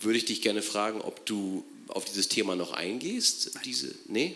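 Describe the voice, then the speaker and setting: A man at a fairly slow pace. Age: 40s. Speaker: audience member. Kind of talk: Q&A question. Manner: halting.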